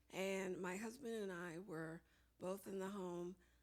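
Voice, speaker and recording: A woman with an unremarkable speaking voice talks at a fairly slow pace. Her pitch sits in the medium range. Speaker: public health professional. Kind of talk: conference talk. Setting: conference room with audience.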